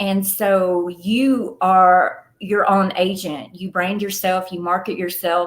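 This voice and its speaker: A woman with a Southern US accent speaks at a medium pitch in a monotone with flat intonation. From Atlanta, Georgia, USA. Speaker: film producer and actress. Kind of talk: podcast interview answer.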